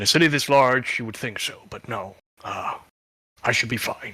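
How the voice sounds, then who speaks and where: A man puts on a raspy character voice at a medium pitch. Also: moderate pace. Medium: actual play. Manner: deferential, addresses the captain formally.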